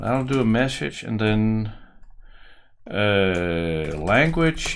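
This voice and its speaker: Over light background noise, a man with a fairly low pitch speaks with a strong Danish accent. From Denmark. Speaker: software developer and tutorial maker. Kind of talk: coding tutorial; tutorial. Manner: casual, thinking aloud with hesitations.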